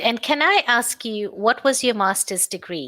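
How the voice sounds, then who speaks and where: Speaking at a fairly slow pace in an Indian accent, a woman has a fairly high, bright, sharp voice with very wide pitch swings, captured in a very clean recording with a silent background. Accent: Indian-sounding. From South Africa. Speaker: online English teacher. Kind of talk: casual chat.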